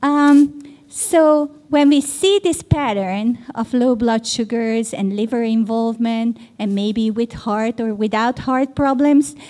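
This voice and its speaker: A woman speaks at a very slow pace in a fairly high pitch with ordinary pitch variation. Noticeable background noise runs underneath. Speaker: pediatrician and professor. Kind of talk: conference lecture.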